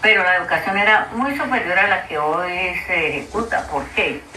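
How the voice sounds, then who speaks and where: A woman speaks fairly slowly, with audible room echo and noticeable background noise in the recording. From Colombia, Cauca/Valle region (rural town). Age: 80s+. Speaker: grandmother sharing memories. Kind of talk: oral history testimony. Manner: halting, with repetitions.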